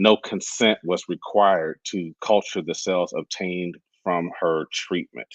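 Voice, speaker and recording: This man's voice sits at a very deep, low pitch with ordinary pitch variation. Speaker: podcast co-host. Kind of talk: casual discussion, partly reading notes. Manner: halting, stumbling over words.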